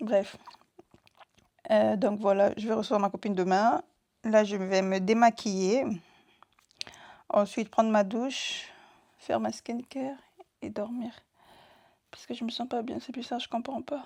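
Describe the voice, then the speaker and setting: A woman with a dark, mellow tone and fairly high pitch speaks with big swings in loudness and long, frequent pauses. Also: ordinary pitch variation. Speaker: vlogger. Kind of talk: casual vlog talk to camera. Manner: fast.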